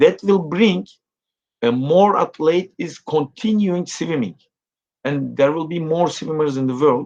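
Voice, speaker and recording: With a Turkish accent, a man speaks at a fairly high pitch. His intonation is lively and his pace fairly slow. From Turkey. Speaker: swimming coach. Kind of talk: interview. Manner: halting, many fillers.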